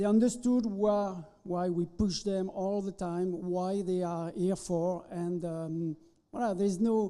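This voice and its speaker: A man with a French accent has a high pitch, a dark, mellow tone and fairly even intonation. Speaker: chef instructor. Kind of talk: ceremony interview. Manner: halting.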